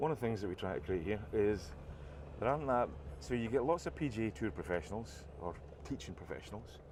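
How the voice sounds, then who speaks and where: A man speaks with a Scottish accent at a very fast pace. His fairly low voice swings very widely in pitch. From Scotland. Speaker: golf vlogger. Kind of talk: casual commentary while playing golf. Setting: outdoors on a golf course.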